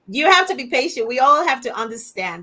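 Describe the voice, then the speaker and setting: A woman with an African accent talks at a very fast clip, her intonation lively. Noticeable background noise runs under her voice. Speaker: global chair hosting a launch event. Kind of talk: virtual event hosting. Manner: informal, chatty.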